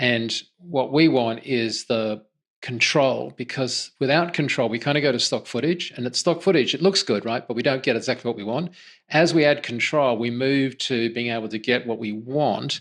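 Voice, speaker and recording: Against a quiet background, a man speaks with an Australian accent. He keeps a moderate pace with ordinary pitch variation. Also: medium pitch for a man. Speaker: podcast host. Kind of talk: casual interview chat.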